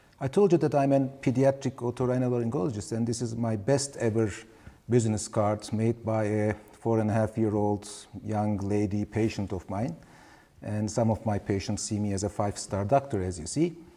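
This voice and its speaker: A man speaks in a medium pitch with a non-native accent. His tone is dark and mellow, with ordinary pitch variation. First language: Turkish. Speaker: pediatric ENT surgeon, professor. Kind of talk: webinar lecture. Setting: webinar.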